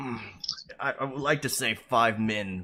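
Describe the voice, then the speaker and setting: A raspy, put-on character voice from a man, medium in pitch with lively intonation. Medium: actual play. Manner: hesitant, filler-heavy.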